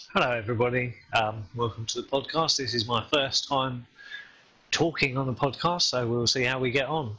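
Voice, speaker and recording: With an English accent, a man speaks at a moderate pace and medium pitch, varying it in an ordinary way. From England. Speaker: game community volunteer on podcast. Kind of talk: casual podcast chat.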